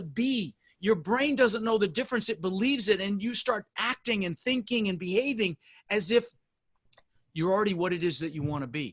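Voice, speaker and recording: Delivered at a moderate pace, the voice carries an intense, animated tone with a dry, close sound and no echo. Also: man. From Colorado, US (immigrated from the Netherlands at six). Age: 60s. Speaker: real estate investor. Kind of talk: interview.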